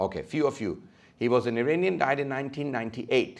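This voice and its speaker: A man talks very fast in a fairly high pitch with ordinary pitch variation against a quiet background. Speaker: Islamic scholar. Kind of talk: lecture.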